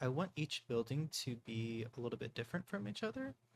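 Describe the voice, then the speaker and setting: Here a man speaks at a medium pitch with lively intonation. His voice is somewhat breathy. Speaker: gaming youtuber. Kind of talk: casual gameplay commentary. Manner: casual, hesitant with fillers.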